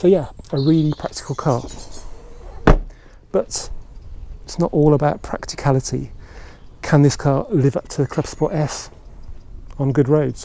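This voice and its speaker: A man with a fairly high voice talks at a moderate pace, his intonation fairly even. He pauses long and often, and there is noticeable background noise. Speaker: car reviewer. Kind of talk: casual car review to camera.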